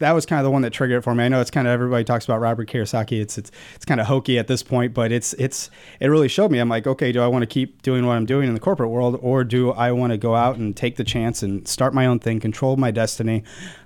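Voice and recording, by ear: A man speaks fast at a medium pitch with a slightly mellow tone and fairly even intonation, recorded very cleanly against a silent background.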